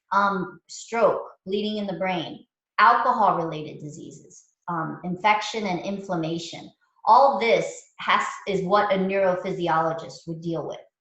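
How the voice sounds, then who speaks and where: At a fairly slow pace, a woman speaks with medium pitch and ordinary pitch variation. Her loudness swings widely, and audible room echo surrounds her. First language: not English. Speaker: mindfulness teacher. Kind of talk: lecture. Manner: casual, halting with fillers.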